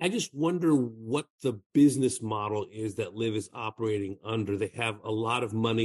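An unremarkable speaking voice from a man with an American accent, medium pitch, moderate pace, quiet background and a dry, close sound with no echo. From Southern California. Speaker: golf TV host. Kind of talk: interview conversation.

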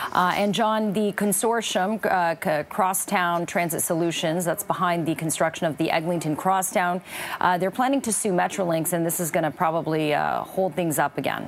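With hardly any pauses and very even loudness, a woman with a fairly low voice speaks with ordinary pitch variation over noticeable background noise. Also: moderate pace. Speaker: news anchor. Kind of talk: radio news chat.

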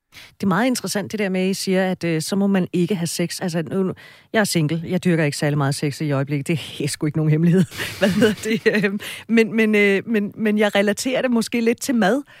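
With lively intonation, a woman speaks in a normal speaking voice at a medium pitch. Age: 40s. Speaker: radio host. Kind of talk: radio talk show.

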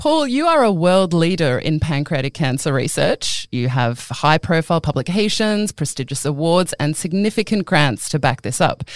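A woman speaks at a moderate pace with lively intonation and a fairly low pitch, in an ordinary speaking voice. The recording is very clean with a silent background and a dry, close sound with no echo. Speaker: podcast host. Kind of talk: interview, scripted intro.

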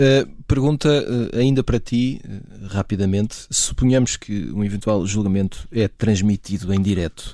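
With a dark, mellow tone and fairly low pitch, a man talks at a fairly slow pace with hardly any pauses and ordinary pitch variation. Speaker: podcast host. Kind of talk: panel discussion moderation.

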